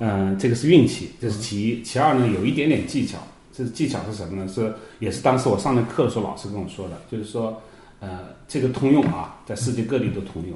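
A man's medium-pitched voice at a fairly quick pace, with ordinary pitch variation, big swings in loudness and audible room echo. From China, Hunan (Yueyang). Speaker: software engineer and wine trader. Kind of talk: casual interview chat. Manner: halting, many fillers.

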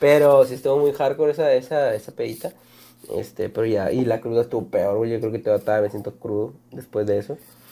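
A man with a dark, mellow tone talks at medium pitch and a fairly quick pace, his intonation fairly even. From Mexico. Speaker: podcast host. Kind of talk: casual chat. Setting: studio.

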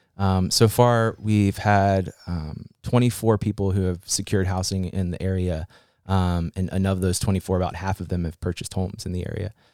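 A man with an American accent speaks at a moderate pace in a very deep, low voice with fairly even intonation. The recording is very clean, with a silent background and a dry, close sound with no echo. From West Virginia (Fairmont). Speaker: remote worker program coordinator. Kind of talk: casual interview.

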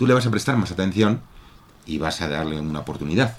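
A man rattles along at a very fast pace, his intonation lively. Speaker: reading club member. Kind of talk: radio interview. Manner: hesitant, many fillers.

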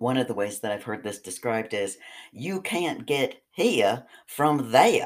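Putting on a character voice, a man drawls in a Southern US accent at a fairly slow pace, his medium-pitched voice carrying lively intonation. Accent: Southern American.

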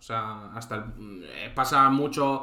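Bright and sharp in tone, a man's voice sits at medium pitch. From Spain, Santander (Cantabria). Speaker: live stream host. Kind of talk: casual chat. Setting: live stream.

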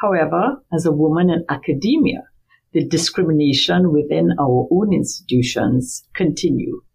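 Her pitch very deep and low, a woman talks at a moderate pace with lively intonation, vocal fry and very even loudness. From Trinidad and Tobago. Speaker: marine biology professor. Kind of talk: interview.

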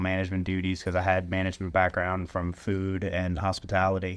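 On a very clean recording with a silent background, a man speaks at a moderate pace in a very deep, low pitch with monotone, flat intonation. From Louisiana, Baton Rouge area. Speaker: bike shop mechanic. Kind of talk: casual interview.

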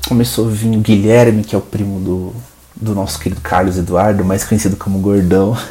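Against noticeable background noise, a man with a fairly low pitch talks at a fairly quick pace in a relaxed tone with fairly even intonation. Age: 20s. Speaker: podcast host. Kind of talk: casual monologue. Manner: relaxed, unscripted.

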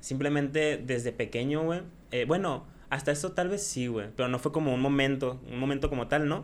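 Pitched fairly high, a man talks at a moderate pace. His pitch varies in an ordinary way. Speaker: streamer and YouTuber. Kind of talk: casual chat. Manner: loud.

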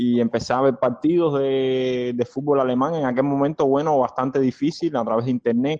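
The tone is dark and mellow. The sound is dry and close with no echo, at a moderate pace. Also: man. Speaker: football fan club vice president. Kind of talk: interview. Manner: hesitant, many fillers.

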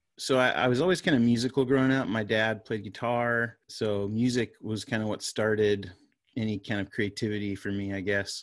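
A man speaks in a plain, everyday voice with ordinary pitch variation. The background is quiet. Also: fairly low pitch for a man. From Florida. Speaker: worship pastor and media company founder. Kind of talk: casual interview.

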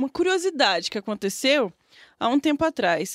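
At a fairly quick pace, a woman with a high voice speaks in a very clean recording with a silent background and a dry, close sound with no echo. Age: young. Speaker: podcast co-host. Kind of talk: casual chat.

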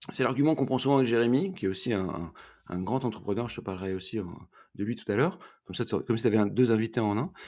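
A man with medium pitch and a dark, mellow tone at a very fast pace, in a very clean recording with a silent background. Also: lively intonation. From northern France, Roubaix. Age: 40s. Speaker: entrepreneur and charity founder. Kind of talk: podcast interview.

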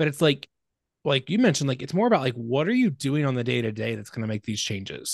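Very fast speech with lively intonation, dry and close with no echo, against a quiet background. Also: man, medium pitch for a man. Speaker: podcast host. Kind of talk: podcast interview. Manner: casual, upbeat.

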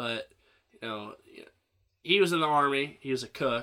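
A man with an American accent, lively intonation and a bright, sharp tone. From central Illinois. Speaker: podcast host. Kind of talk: casual chat.

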